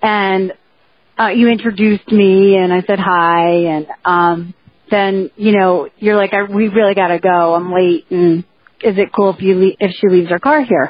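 The speaker has a New Jersey accent and a moderate pace. The intonation stays fairly even. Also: woman, medium pitch for a woman. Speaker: podcast co-host. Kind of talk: casual chat.

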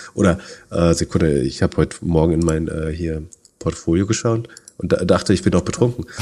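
This man's voice sits at a very deep, low pitch with a dark, mellow tone. He talks at a fairly quick pace with ordinary pitch variation. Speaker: tech and stock market podcast co-host. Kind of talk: casual chat. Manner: halting, many filler words.

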